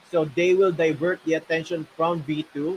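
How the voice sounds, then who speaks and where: A man talks at a high pitch. The sound is dry and close, with no echo. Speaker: gaming guild manager. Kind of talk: livestream Q&A. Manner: loud.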